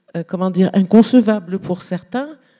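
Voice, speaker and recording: A woman speaks with an Arabic accent in a dark, mellow tone. Her intonation is lively. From Algeria. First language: Arabic (speaking French). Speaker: novelist. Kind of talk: panel discussion. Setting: stage with audience. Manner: halting.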